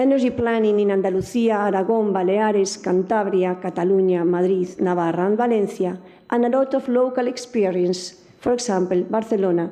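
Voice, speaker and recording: A woman with a medium pitch and a dark, mellow tone talks at a fairly quick pace with ordinary pitch variation. Her loudness stays very even, and audible room echo surrounds her. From Spain. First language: Spanish. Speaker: academic speaker on energy law. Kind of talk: conference talk.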